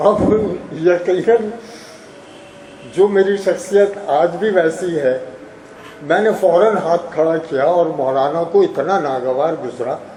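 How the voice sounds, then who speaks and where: A high-pitched man with long, frequent pauses, audible room echo and noticeable background noise. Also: ordinary pitch variation. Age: 70s. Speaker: retired university registrar and teacher. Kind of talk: reminiscence speech at an honorary event. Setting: hall with audience.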